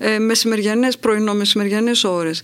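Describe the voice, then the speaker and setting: A woman with a fairly high pitch is heard against noticeable background noise. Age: middle-aged. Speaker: podcast host, writer and journalist. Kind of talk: casual chat.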